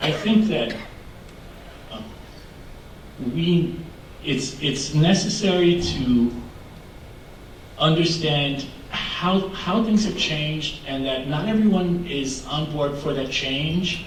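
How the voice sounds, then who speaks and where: With audible room echo and noticeable background noise, a man with a fairly high pitch is heard. He talks at a very slow pace with long, frequent pauses. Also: ordinary pitch variation. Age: 60s. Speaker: LGBTQ activist panelist. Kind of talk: panel discussion.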